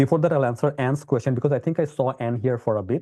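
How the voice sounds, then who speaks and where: A man talks at a very fast pace in a medium pitch with ordinary pitch variation. His tone is dark and mellow, against a quiet background. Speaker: tech company CEO and webinar host. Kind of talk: live webinar demo and Q&A. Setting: live webinar. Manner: animated.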